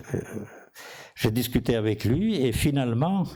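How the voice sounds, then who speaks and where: With a non-native accent, a man speaks in a dark, mellow tone and a lively, varied intonation. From outside France. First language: not French (speaking French). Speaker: physician and inventor. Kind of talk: conference talk. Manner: halting.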